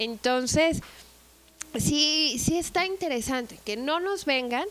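Over noticeable background noise, a woman talks at a fairly slow pace with very wide pitch swings. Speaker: tourism manager. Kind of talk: casual chat.

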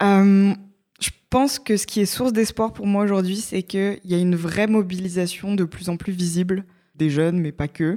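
A woman with an unremarkable speaking voice talks at a medium pitch and a moderate pace with fairly even intonation. The recording is very clean, with a silent background. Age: 20s. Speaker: startup co-founder and digital decarbonisation researcher. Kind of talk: podcast interview.

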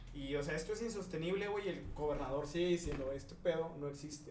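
A man talks very fast at a fairly high pitch. Audible room echo and noticeable background noise fill the recording. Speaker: podcast host. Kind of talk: casual chat.

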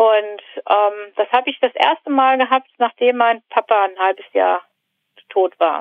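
A woman speaks in a plain, everyday voice, fairly high in pitch with ordinary pitch variation. Her loudness stays very even at a fairly slow pace. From northern Germany. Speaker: civil engineer, construction site manager. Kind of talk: casual interview about personal life.

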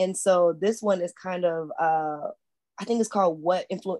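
At a moderate pace, a woman speaks in a dark, mellow tone at a medium pitch with ordinary pitch variation. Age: 30s. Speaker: podcast co-host and college sports coach. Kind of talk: casual chat.

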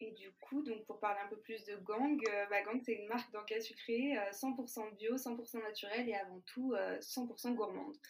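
A woman with a plain, everyday voice speaks at a fairly slow pace. Her pitch is fairly high, with fairly even intonation. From France, Lyon. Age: 20s. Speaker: food startup founder. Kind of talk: interview.

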